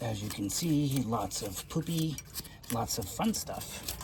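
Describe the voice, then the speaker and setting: Soft-spoken, a man talks with lively intonation. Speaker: vintage VW mechanic youtuber. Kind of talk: workshop tutorial vlog. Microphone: no mic on, camera audio.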